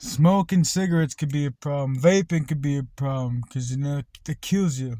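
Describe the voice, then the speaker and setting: A man's dark, mellow, somewhat breathy voice with ordinary pitch variation, in a dry, close sound with no echo. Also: fairly high pitch for a man, moderate pace. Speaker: vlogger. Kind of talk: casual monologue.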